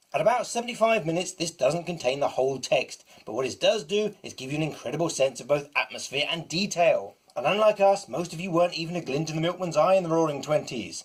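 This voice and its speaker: A man talks at a very fast pace with hardly any pauses, his pitch high and his intonation lively. Noticeable background noise runs underneath. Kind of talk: casual review talk to camera.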